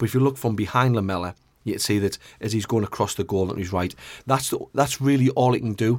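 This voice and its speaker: Talking at a very fast pace, a man with a medium pitch and ordinary pitch variation comes through on a very clean recording with a silent background. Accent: northeast English. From northeast England. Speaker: goalkeeping pundit, ex-goalkeeper. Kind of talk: casual chat. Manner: fast talker, mumbles a bit.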